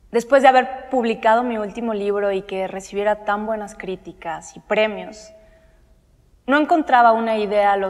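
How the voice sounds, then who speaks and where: This woman's speech is fairly slow, her pitch varying in an ordinary way, and the background is quiet. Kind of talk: monologue. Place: studio. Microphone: handheld.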